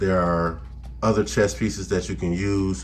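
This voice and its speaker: With music in the background and audible room echo, a man speaks at a moderate pace with a very deep, low pitch. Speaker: gaming YouTuber and pastor. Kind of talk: game tutorial. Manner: animated.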